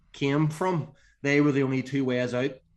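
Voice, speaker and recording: A medium-pitched man's voice in an Irish accent, monotone and flat in intonation. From Northern Ireland. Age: 40s. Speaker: strength and conditioning coach. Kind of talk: podcast interview.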